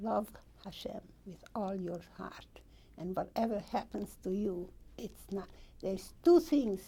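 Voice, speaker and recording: The voice has a dark, mellow tone with vocal fry and lively intonation, moving at a fairly slow pace. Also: woman. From Hungary. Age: 80s+. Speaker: Holocaust survivor. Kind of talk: oral history interview.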